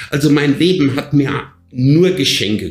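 Talking at a fairly slow pace, a man shows ordinary pitch variation over noticeable background noise. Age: 50s. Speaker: fitness coach and podcast co-host. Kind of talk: casual chat. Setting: office. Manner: animated.

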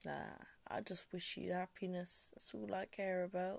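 A woman speaks at a fairly slow pace. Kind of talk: spoken word poetry, a heartfelt rhyming piece about love and family. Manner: raw, intimate, confessional, emotional and conversational.

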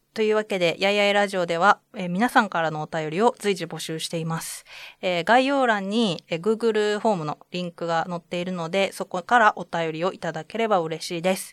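A woman with an unremarkable speaking voice talks at a fairly quick pace with hardly any pauses, at a medium pitch with ordinary pitch variation, in a dry, close sound with no echo. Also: very clean recording, silent background. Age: 30s. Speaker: freelancer and podcast co-host. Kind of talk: casual chat.

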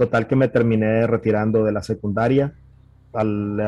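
A man's fairly low-pitched voice moves along at a fairly quick clip. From Nicaragua, Managua. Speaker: software architect. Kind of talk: interview. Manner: halting.

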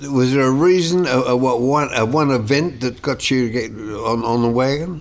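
A man's medium pitch with ordinary pitch variation, a moderate pace and very even loudness, with audible room echo and noticeable background noise. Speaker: podcast co-host. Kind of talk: casual interview.

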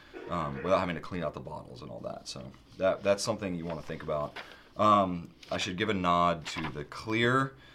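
Speaking at a fairly quick pace, a man with a very deep, low pitch and vocal fry uses lively intonation and big swings in loudness. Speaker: pen shop video host. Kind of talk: casual product talk video.

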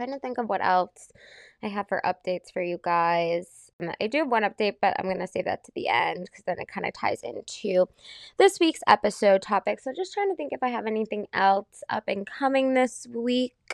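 Speaking in a plain, everyday voice, a woman uses a fairly high pitch and lively intonation at a moderate pace, with big swings in loudness. The background is quiet and the sound dry and close, with no echo. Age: 20s. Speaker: podcast host and fitness class instructor. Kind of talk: casual solo chat.

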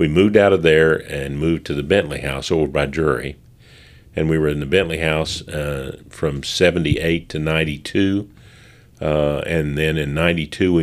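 Deep and very low, a man's voice carries vocal fry and fairly even intonation. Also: very clean recording, silent background. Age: 70s. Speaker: storyteller, local historian. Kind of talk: casual chat. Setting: museum basement recording room.

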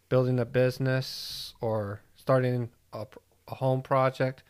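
A man with an American accent talks at a medium pitch in a monotone, flat intonation. The recording is very clean, with a silent background. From US Midwest, Ohio and Detroit area. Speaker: podcast co-host. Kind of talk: casual chat.

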